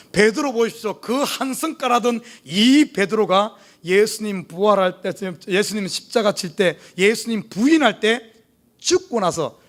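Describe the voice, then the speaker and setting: An animated man with a high voice and a Jeolla accent, on a very clean recording with a silent background. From South Korea, Jeolla region (Gwangju). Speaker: pastor. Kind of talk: sermon. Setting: church.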